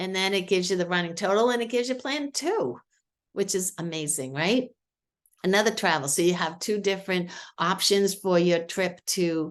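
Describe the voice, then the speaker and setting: With a Boston accent, a woman of medium pitch talks at a moderate pace with lively intonation over a quiet background. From Boston, New England. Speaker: marketing expert demonstrating software. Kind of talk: product demo on a video call. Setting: video call. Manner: casual, filler-heavy.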